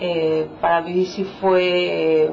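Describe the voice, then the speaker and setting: A woman speaks with a Mexican accent. Noticeable noise runs in the background. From Mexico, Michoacán. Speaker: immigrant psychologist, French course student. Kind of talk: documentary interview. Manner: hesitant, with fillers.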